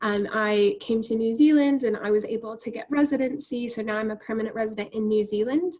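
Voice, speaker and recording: Fairly quick and with hardly any pauses, a woman with an American accent talks in a fairly high, somewhat breathy voice with ordinary pitch variation. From United States. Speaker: university representative. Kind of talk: webinar Q&A answer.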